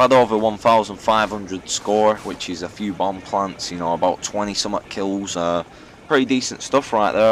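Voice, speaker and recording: Noticeable background noise sits behind a man with a fairly low pitch. He talks at a fairly quick pace with ordinary pitch variation. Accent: northern English. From northern England. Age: 20s. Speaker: gaming YouTuber. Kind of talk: casual Q&A commentary. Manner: casual, hesitant with fillers.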